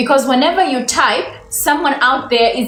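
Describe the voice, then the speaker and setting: Music plays in the background as a woman talks in a high voice. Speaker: English teacher. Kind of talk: livestream lesson.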